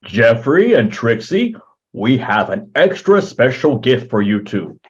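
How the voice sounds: A man's put-on character voice at medium pitch, fairly slow, with very wide pitch swings.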